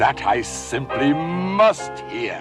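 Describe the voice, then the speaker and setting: Over clear background music, a man uses a put-on character voice pitched fairly high. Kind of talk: storybook character voice. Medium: read story. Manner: sly, scheming.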